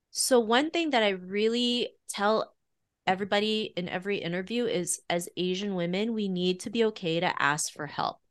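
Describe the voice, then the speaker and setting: A woman with a Canadian accent has a plain, everyday voice at medium pitch, with ordinary pitch variation. She speaks at a moderate pace against a quiet background. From Canada, Toronto. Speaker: author and podcast host. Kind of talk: interview.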